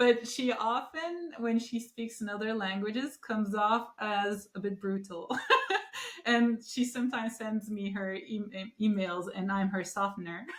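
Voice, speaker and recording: Against noticeable background noise, a woman with a Turkish accent speaks at a fairly slow pace in a fairly high pitch. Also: ordinary pitch variation. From Turkey. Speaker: podcast host. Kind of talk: interview.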